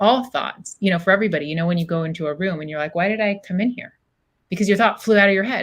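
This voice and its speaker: Talking at a very fast pace, a woman uses a medium pitch. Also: ordinary pitch variation. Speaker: psychologist. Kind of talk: interview conversation. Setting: podcast recording.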